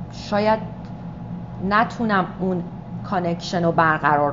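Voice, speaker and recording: The speaker is a woman with a fairly low pitch. Noticeable background noise runs behind her. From Iran. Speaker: stage actress and director. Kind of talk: interview answer. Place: meeting room.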